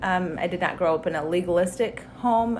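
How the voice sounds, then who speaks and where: A woman with a plain, everyday voice speaks with an American accent at a medium pitch and with ordinary pitch variation. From Wyoming, US. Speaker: church member sharing testimony. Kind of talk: testimony.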